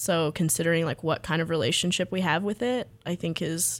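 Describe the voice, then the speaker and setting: With an American accent, this woman has a normal speaking voice, a fairly low pitch and lively intonation. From US South, coastal Texas (Freeport). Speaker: graduate student and artist. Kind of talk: radio interview.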